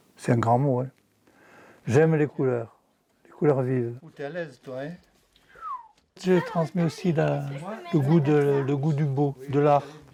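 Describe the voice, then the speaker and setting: Speaking at a very slow pace with long, frequent pauses, a man with a fairly high pitch keeps his intonation fairly even while his loudness swings widely. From southwest France. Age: 80s+. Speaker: retired painter, grandfather. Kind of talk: casual chat.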